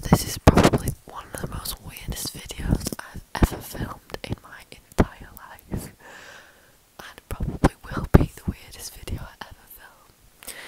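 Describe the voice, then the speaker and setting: A woman whispering in an amused tone at a fairly slow pace. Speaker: YouTuber, vlogger. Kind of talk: ASMR-style whispered talk to camera. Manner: whispered, soft, slow, amused. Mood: playful, giggly. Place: home room. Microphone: earbuds.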